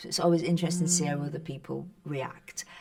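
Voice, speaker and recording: Over noticeable background noise, a woman with a Northern English accent talks at a very fast pace with fairly even intonation. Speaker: actress. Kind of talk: interview answer. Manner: casual, conversational.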